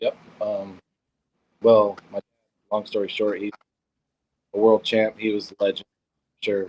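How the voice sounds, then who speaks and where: A man with an American accent talks at a fairly slow pace with long, frequent pauses, in a dry, close sound with no echo. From US South, Georgia. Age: 20s. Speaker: arm wrestler. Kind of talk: interview. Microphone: cutting out, echoing phone.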